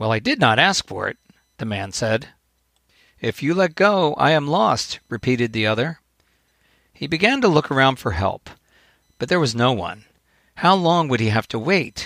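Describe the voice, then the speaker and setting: Very wide pitch swings at a moderate pace, broken by long, frequent pauses. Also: man. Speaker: podcast host, author and coach. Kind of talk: storytelling fable reading aloud. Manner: earnest, warm, formal.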